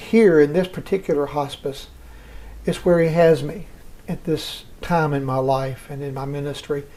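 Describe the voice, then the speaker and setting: With a Southern US accent, a man talks in a fairly high pitch with ordinary pitch variation and a dark, mellow tone. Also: moderate pace. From US South. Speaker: hospice chaplain. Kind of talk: interview.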